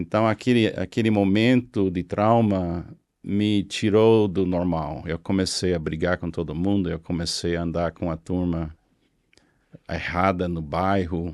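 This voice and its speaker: In a very clean recording with a silent background, a man with an English accent speaks at a fairly slow pace, with a very deep, low pitch and fairly even intonation. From US South, Florida (Miami). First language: English (speaking Portuguese). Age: 70s. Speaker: pastor. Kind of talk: interview testimony. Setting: studio.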